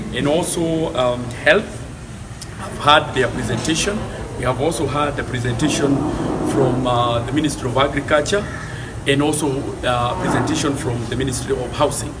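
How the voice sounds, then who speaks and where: A man talks at a moderate pace with ordinary pitch variation, pausing long and often. Loud background noise runs underneath. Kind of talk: press statement. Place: street. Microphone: handheld.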